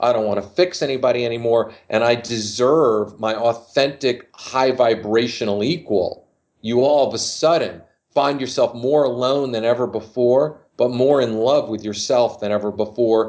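A man with an unremarkable speaking voice talks at a moderate pace. His pitch is medium and his intonation fairly even. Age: 50s. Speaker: dating coach. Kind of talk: casual chat.

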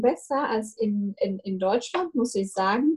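With a Russian accent, this voice has a dark, mellow tone and sounds somewhat breathy. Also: woman. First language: Russian (speaking German). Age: 20s. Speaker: university student. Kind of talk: casual chat.

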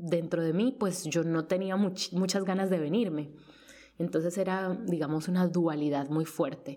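Very even loudness, ordinary pitch variation and a fairly slow pace, with noticeable background noise. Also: woman. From Colombia. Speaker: freelance journalist. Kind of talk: personal testimony. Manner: halting, many repetitions.

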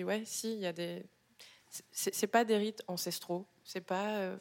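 A woman at a medium pitch and a very slow pace. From Gabon. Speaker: artist. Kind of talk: public book club discussion. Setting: live venue with audience.

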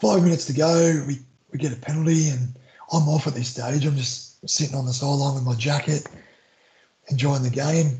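With an Australian accent, a man speaks at a fairly high pitch. His pace is fairly quick and his intonation fairly even. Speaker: former rugby league player, maths teacher. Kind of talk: casual interview chat. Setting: remote call.

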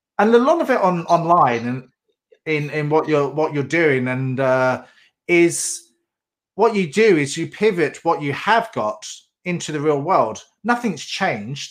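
On a very clean recording with a silent background, a man with a plain, everyday voice and fairly high pitch speaks at a fairly slow pace. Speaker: podcast host. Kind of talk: interview, intro and outro.

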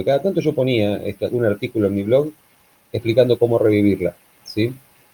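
A man speaks at medium pitch with an Argentine accent. His pace is fairly quick and his pitch varies an ordinary amount. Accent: Argentine Rioplatense. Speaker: podcast co-host. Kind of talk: casual chat.

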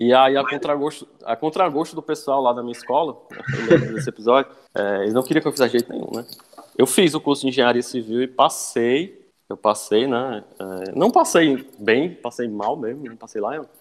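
A man speaks at a moderate pace in a medium pitch with ordinary pitch variation. His loudness swings widely over noticeable background noise. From Ceará east coast, Brazil (Cascavel). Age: 20s. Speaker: structural engineer and university lecturer. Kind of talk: podcast interview.

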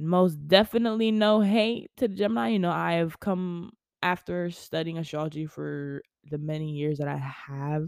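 In an American accent, a woman with an unremarkable speaking voice talks at a moderate pace and fairly low pitch, her intonation lively over a very clean recording with a silent background. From US South, West Palm Beach, Florida. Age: 20s. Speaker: podcast host. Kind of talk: casual monologue. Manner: casual, filler-heavy.

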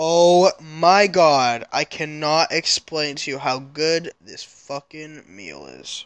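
Against a quiet background, the speaker goes at a very slow pace with hardly any pauses. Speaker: streamer and podcast host. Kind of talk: solo casual monologue. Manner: halting, many fillers; loud at times.

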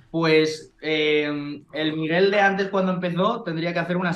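This man has an unremarkable speaking voice. He talks fairly slowly at a fairly high pitch. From Spain, Valencia. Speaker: real estate investor. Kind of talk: interview.

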